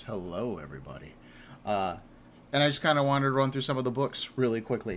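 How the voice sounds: Putting on a raspy character voice, a man talks at a very fast pace with medium pitch and lively intonation.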